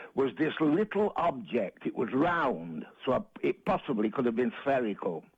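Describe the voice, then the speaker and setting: This voice, in a Manchester accent, swings very widely in pitch and carries vocal fry. Its loudness stays very even throughout. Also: man, fairly high pitch for a man, moderate pace. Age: 70s. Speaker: caller. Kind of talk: phone-in call.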